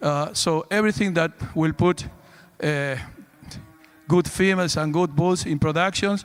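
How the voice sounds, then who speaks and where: A man with a fairly high pitch speaks at a moderate pace. His intonation is fairly even, with music in the background. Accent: Spanish. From Argentina. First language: Spanish. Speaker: livestock show judge. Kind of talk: judge's reasons at a cattle show. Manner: halting, with repeated words.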